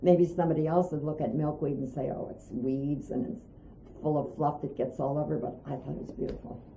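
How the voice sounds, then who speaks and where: Amid audible room echo, a woman with an Inland North accent talks at a fairly quick pace, her very deep, low pitch showing ordinary variation. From Pennsylvania, Erie. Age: 80s+. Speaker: artist and art teacher. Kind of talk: interview. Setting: at home.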